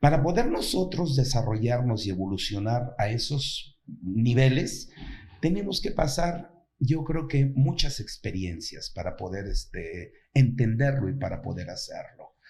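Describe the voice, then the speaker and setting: Somewhat breathy and fairly high-pitched, a man speaks at a fairly slow pace with lively intonation amid audible room echo. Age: 60s. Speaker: actor and playwright. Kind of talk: interview conversation.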